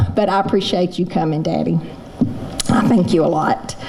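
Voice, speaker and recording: A woman with a Southern US accent at a moderate pace, ordinary pitch variation, audible room echo and noticeable background noise. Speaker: roast honoree, local businesswoman. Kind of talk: thank-you speech. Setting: stage with audience. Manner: loud.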